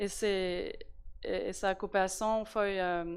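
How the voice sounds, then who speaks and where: This woman's medium-pitched voice stays in a monotone with flat intonation. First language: French (speaking Portuguese). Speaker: diplomat, embassy representative. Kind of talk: panel talk. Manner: halting, many fillers and repetitions.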